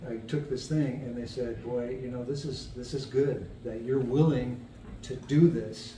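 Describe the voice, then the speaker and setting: A medium-pitched male voice amid noticeable background noise and audible room echo. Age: 70s. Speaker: person with cognitive decline sharing experience. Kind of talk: casual chat. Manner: halting.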